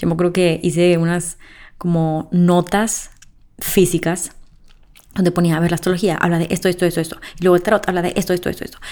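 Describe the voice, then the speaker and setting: A woman's fairly low, dark and mellow voice at a fairly quick pace. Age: 20s. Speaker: podcast host. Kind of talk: solo podcast monologue. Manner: animated.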